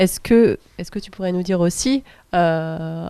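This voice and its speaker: The voice has a dark, mellow tone, captured in a very clean recording with a silent background. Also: woman. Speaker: round table moderator. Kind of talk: panel moderation. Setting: round table with audience. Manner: soft-spoken; hesitant, many fillers.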